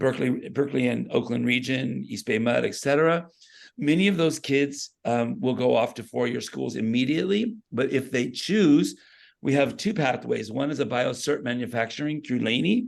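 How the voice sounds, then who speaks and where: Against a quiet background, a man with vocal fry speaks at a moderate pace and medium pitch with lively intonation. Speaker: school career pathways educator. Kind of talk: presentation at a meeting.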